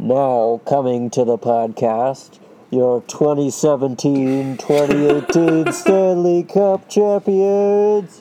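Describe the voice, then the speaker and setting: In a put-on character voice pitched low-to-middle, the speaker goes at a very slow pace. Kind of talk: formal.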